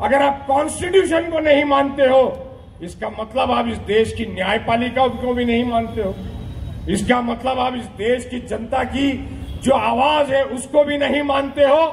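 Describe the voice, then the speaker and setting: A man speaks in an extremely high voice. Noticeable background noise and audible room echo are present. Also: ordinary pitch variation. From Mira-Bhayandar, Maharashtra, India. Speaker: politician. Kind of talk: political rally speech. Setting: outdoor public rally. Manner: animated.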